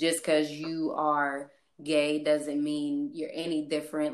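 A woman is speaking. She has a Midwestern US accent. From St. Louis area, US Midwest. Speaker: guest. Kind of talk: casual chat.

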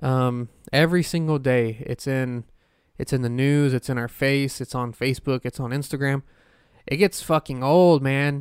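A man with a plain, everyday voice speaks at medium pitch and a moderate pace with fairly even intonation, in a very clean recording with a silent background and a dry, close sound with no echo. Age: 20s. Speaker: podcast host and paranormal investigator. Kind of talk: casual solo podcast monologue. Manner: rambling with many fillers.

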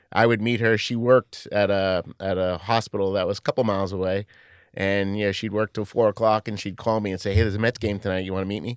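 A man with a New York accent speaks very fast in a fairly low, monotone, flat voice. The recording is very clean with a silent background and a dry, close sound with no echo. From Queens, New York. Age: 50s. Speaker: sports club communications executive. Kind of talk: interview.

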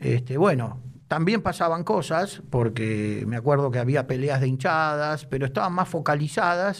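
An ordinary speaking voice, a man talks at a moderate pace with a fairly high pitch, lively intonation and very even loudness. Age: 50s. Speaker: football club official and lawyer. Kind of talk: casual interview.

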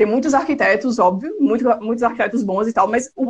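A woman talks at a fairly quick pace. Her voice is high in pitch. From Brazil, Alagoas (Penedo). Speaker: architect and photographer. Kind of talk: casual live interview.

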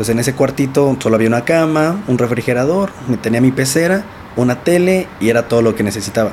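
Lively intonation from a man at a medium pitch, over noticeable background noise. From Mexico, Nezahualcóyotl, State of Mexico. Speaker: entrepreneur and former inmate sharing life story. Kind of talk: interview, life story testimony.

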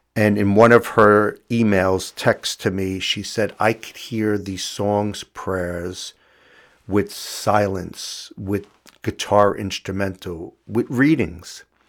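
Very slow in pace, a man talks at a fairly low pitch. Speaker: spiritual podcast host. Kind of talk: inspirational reading and reflection; casual personal talk. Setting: video recording at home.

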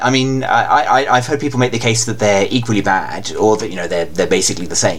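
This man's voice comes with audible room echo. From England. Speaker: anime fan guest. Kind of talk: casual chat. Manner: halting.

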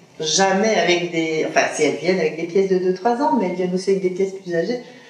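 A woman at medium pitch with ordinary pitch variation, amid audible room echo and noticeable background noise. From Belgium, Liège. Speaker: second-hand clothing shop owner. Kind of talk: interview. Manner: halting.

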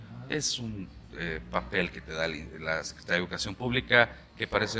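A man with a very deep, low pitch talks at a fairly quick pace. His pitch swings very widely and his loudness shifts a great deal. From Aguascalientes, Mexico. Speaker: voice actor and announcing teacher. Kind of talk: casual interview chat. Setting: café.

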